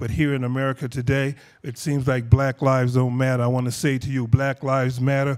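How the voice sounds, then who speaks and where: Against a quiet background, a man speaks at a fairly quick pace with flat, monotone intonation. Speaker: foundation head and bereaved father. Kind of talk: speech to audience. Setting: stage with audience. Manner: humorous. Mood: earnest, emotional, some humor. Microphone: lapel.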